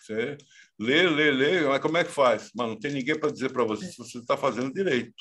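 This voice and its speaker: Against a quiet background, a man with a normal speaking voice talks at a fairly quick pace and a medium pitch. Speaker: professor and author. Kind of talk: interview.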